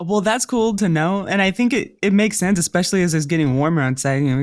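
A woman with a plain, everyday voice, fairly low in pitch, with lively intonation. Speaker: podcast host. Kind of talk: casual interview.

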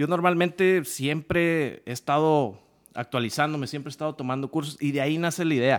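A man's fairly high voice with ordinary pitch variation, in a very clean recording over a silent background. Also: fairly quick pace. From Mexico, Jalisco (small town). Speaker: dentist. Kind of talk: casual chat. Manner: halting.

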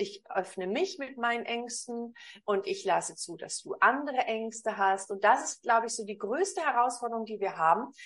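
Here is a woman with an ordinary speaking voice and a fairly high pitch. She talks at a fairly slow pace with lively intonation. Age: 50s. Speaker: communication coach. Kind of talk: interview.

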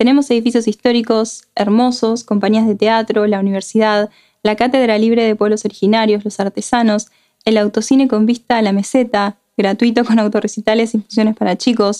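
A woman with an Argentine accent, fairly quick and fairly high-pitched, dark and mellow in tone, monotone and flat in intonation, at very even loudness, in a dry, close sound with no echo. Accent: Argentine Spanish (rioplatense voseo). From Argentina, Patagonia (Comodoro Rivadavia). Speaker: podcast host. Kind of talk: solo podcast monologue.

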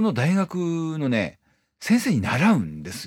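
The voice makes very wide pitch swings. The sound is dry and close with no echo, in a very clean recording with a silent background. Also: man. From Iwate, Morioka. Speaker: violinist and podcast host. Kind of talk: casual solo monologue. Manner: hesitant, many fillers.

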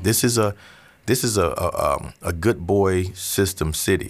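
Here is a man with an American accent and an unremarkable speaking voice, pitched fairly low with ordinary variation. The recording is very clean, with a silent background. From Central Florida. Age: 40s. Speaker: pastor. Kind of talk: casual interview.

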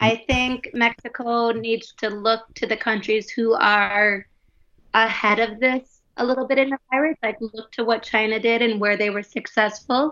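At a moderate pace, a woman with an Upper Midwest accent speaks in a bright, sharp, fairly high voice with monotone, flat intonation. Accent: Upper Midwest American. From US Midwest, Wisconsin and Minnesota. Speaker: primary school teacher. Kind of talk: casual chat.

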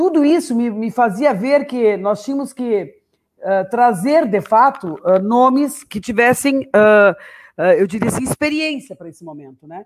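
A high-pitched woman speaks at a fairly slow pace, her intonation lively and her loudness swinging widely. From Ibirubá, Rio Grande do Sul. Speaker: politician, mayoral candidate. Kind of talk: political livestream chat. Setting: online livestream.

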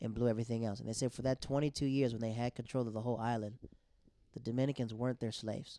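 A man's dark, mellow tone, monotone and flat, at a very fast pace. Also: medium pitch for a man. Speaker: comedian. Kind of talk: casual chat.

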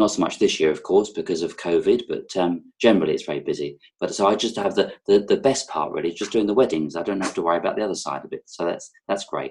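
A man with a slight London accent, very fast and with hardly any pauses. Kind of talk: casual interview chat. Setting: video call.

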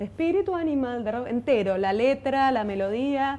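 With a Rioplatense accent, a woman speaks with lively intonation. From Buenos Aires, Argentina. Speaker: folk singer and violinist. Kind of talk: interview. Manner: halting, many repetitions.

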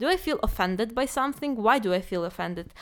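Recorded very cleanly against a silent background, a woman with a Ukrainian accent speaks in a fairly high voice. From Ukraine. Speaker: project coordinator. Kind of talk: casual chat.

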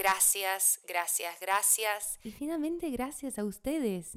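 A woman with an English accent and fairly high pitch, at a fairly slow pace. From United States. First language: English (speaking Spanish). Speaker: podcast host and health worker. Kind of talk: scripted podcast intro. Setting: home studio.

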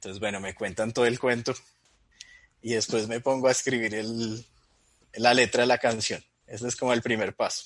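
A man's medium-pitched, monotone, flat delivery at a moderate pace, broken by long, frequent pauses. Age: 30s. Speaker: Bible teacher and comedy video creator. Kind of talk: casual chat.

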